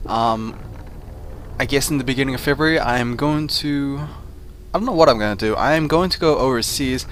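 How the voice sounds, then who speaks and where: A man's fairly high voice broken by long, frequent pauses over noticeable background noise. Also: ordinary pitch variation, fairly quick pace. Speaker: game commentator. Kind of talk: casual talk to camera.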